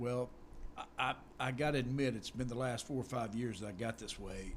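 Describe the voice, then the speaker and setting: At a medium pitch, this man has an unremarkable speaking voice. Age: 60s. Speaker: hunter. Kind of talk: casual chat. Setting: studio.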